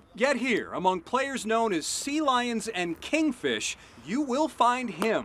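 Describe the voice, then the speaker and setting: Very slow speech over noticeable background noise. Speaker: TV news reporter. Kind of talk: TV news feature narration.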